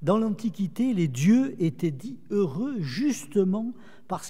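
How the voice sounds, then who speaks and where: A man's dark, mellow voice at a very slow pace, with very wide swings in pitch. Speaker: theologian lecturer. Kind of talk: lecture.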